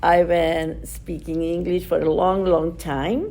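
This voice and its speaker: A woman speaks with an Argentine accent. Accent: Argentine Spanish accent, noticeable. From Argentina. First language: Spanish. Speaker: nonprofit director. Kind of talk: interview. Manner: halting, many fillers.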